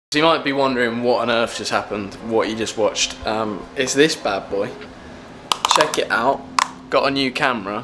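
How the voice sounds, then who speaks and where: Moderate pace and ordinary pitch variation against noticeable background noise. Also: man, medium pitch for a man. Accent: British. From UK. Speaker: student athlete, vlogger. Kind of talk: casual vlog. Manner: animated.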